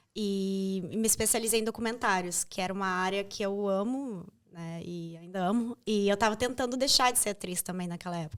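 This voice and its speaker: A woman speaks with an unremarkable speaking voice at medium pitch, at a fairly quick pace with hardly any pauses and ordinary pitch variation. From Brazil. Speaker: journalist and actress. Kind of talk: interview conversation.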